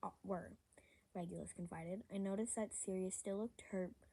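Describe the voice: Just plain reading aloud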